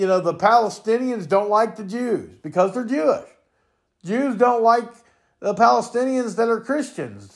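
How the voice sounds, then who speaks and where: In a very clean recording with a silent background, a man speaks loudly in an angry tone at a high pitch, with ordinary pitch variation and a moderate pace. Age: 50s. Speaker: podcast opinion host. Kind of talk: profane solo political rant, no filter. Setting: home recording, cat in the background. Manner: angry, expletive-laden ranting with repeated stammered words; loud, self-described raging buffoon.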